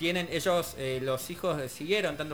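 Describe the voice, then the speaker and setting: A man talks at a moderate pace. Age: 20s. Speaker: radio co-host. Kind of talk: interview.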